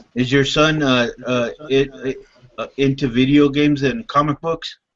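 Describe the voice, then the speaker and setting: A man speaks with a normal speaking voice at a fairly high pitch. His pace is moderate and his intonation fairly even. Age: 30s. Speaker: hangout participant. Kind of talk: casual chat.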